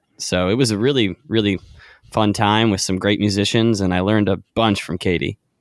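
A man with an American accent and an ordinary speaking voice, fairly low in pitch, at a fairly quick pace, in a very clean recording with a silent background. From North Carolina, Charlotte. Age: 20s. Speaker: indie singer-songwriter. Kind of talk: casual chat.

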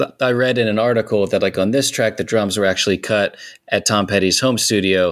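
In a normal speaking voice, a man with a fairly low pitch talks at a fairly quick pace with ordinary pitch variation, in a very clean recording with a silent background. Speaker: musician, band frontman. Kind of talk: casual chat.

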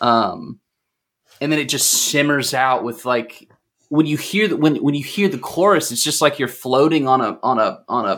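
Using a plain, everyday voice, a man talks at a moderate pace with lively intonation. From North Texas, Fort Worth area. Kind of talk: casual chat. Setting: online remote recording.

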